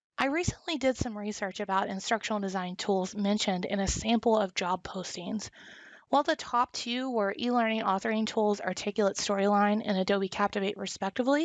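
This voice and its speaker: A woman speaks in a Southern US accent at a fairly quick pace. Her pitch is medium, with ordinary variation. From US South. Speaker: instructional designer. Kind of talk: tutorial.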